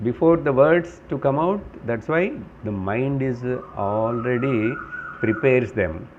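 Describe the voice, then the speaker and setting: A medium-pitched man with lively intonation, with audible room echo. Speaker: Vedanta teacher. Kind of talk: spiritual lecture.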